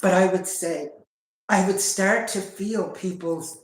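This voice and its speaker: A woman at a medium pitch speaking at a fairly slow pace, with audible room echo. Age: 50s. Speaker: sharing personal spiritual journey. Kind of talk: casual chat. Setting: livestream. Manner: halting.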